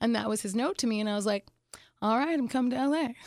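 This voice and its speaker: A woman with a plain, everyday voice speaks at a fairly high pitch with ordinary pitch variation. The recording is very clean, with a silent background. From Pittsburgh, Pennsylvania and Phoenix, Arizona. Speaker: comedian. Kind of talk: casual interview.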